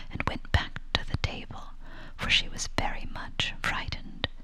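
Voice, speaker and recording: Whispering at a moderate pace, a woman keeps a gentle tone over noticeable background noise. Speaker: ASMR storyteller. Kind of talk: whispered bedtime story reading. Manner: whispered, soft-spoken, gentle.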